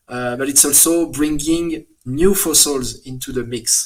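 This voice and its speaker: Speaking with a French accent, a man keeps his intonation fairly even. His pitch is fairly high and his pace fairly slow. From France. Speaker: paleontologist. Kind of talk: interview. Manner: halting, many fillers.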